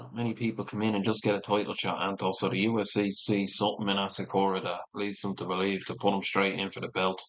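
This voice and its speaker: Rattling along at a very fast pace with hardly any pauses, a man with a Dublin accent speaks at a fairly low pitch with fairly even intonation. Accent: Irish (Dublin). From Ireland. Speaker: MMA streamer. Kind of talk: live watch-along commentary. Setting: livestream.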